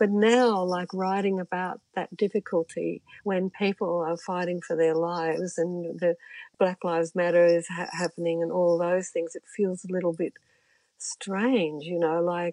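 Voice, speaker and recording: A woman with an Australian accent speaks at a moderate pace in a fairly low pitch, her tone dark and mellow. Her intonation stays fairly even, and the sound is dry and close with no echo. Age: 70s. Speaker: musician and author. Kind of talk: casual chat. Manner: laughs often.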